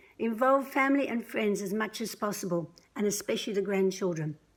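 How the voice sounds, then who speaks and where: With an Australian accent, a woman speaks at a medium pitch and fairly quick pace, her intonation lively. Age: 60s. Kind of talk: prepared testimony read aloud. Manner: measured, scripted delivery.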